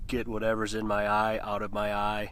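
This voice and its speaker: The tone is bright and sharp, and the pace is fairly slow. Audible room echo surrounds the voice. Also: man. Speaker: outdoor video maker, solo backpacker and fly fisher. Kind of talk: casual vlog monologue. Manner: casual, swearing, self-deprecating.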